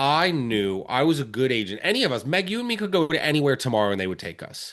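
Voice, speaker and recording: A man with a Philadelphia accent talks at a very fast pace in a fairly high voice, his pitch swinging very widely against a quiet background. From Philadelphia area, Pennsylvania. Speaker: real estate agent. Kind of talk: podcast interview.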